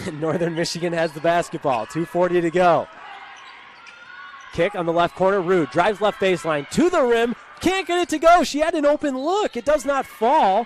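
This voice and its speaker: Pitched high, a man talks at a moderate pace with very wide pitch swings. Background noise is noticeable. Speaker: sports broadcaster, play-by-play announcer. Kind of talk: live basketball play-by-play commentary. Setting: broadcast booth.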